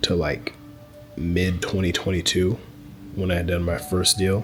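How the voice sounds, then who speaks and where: Quiet speech with music in the background. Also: man. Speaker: land investor and business coach. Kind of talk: casual talking-head video. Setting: in a public spot. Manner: kept quiet, low volume; casual, filler-heavy.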